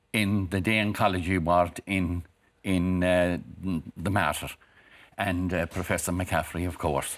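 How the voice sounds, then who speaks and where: Long, frequent pauses break up a man's very deep, low voice, delivered in a monotone, flat intonation with a Cork accent. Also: fairly slow pace. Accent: Cork Irish. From Ireland, Cork. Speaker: cancer survivor. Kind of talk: TV interview. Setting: TV studio. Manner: halting. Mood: reflective, earnest. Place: studio. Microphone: lapel.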